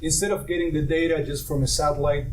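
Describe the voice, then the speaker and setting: There is noticeable background noise along with audible room echo. Through it, a man speaks fairly quickly. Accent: Argentine. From Argentina. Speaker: startup co-founder, satellite engineer. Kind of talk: startup pitch.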